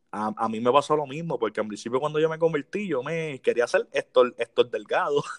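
A man at a fairly quick pace with hardly any pauses, a plain, everyday voice, a fairly high pitch and ordinary pitch variation, in a dry, close sound with no echo. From Puerto Rico, Las Piedras. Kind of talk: casual interview chat.

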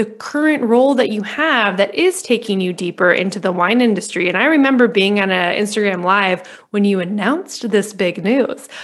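A woman speaks at medium pitch with lively intonation. She has a normal speaking voice. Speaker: podcast host. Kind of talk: casual interview chat.

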